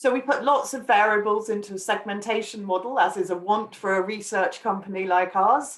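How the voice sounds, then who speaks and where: In an English accent, the speaker moves at a fairly quick pace with hardly any pauses and ordinary pitch variation. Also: woman, fairly high pitch for a woman. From England. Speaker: wine market research analyst. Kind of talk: webinar presentation. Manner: hesitant with frequent fillers.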